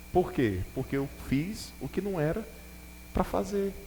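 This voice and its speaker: Audible room echo surrounds a man's speech. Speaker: bishop preaching. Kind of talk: sermon. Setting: church with congregation.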